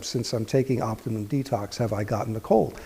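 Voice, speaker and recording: Somewhat breathy, a man speaks at a moderate pace. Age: 60s. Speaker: health practitioner giving a product testimonial. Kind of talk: testimony.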